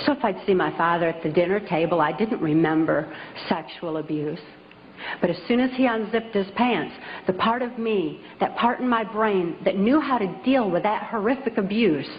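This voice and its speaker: A woman with an American accent speaks with lively intonation over noticeable background noise. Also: medium pitch for a woman, moderate pace. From US Midwest, Michigan. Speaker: author and public speaker. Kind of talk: public talk.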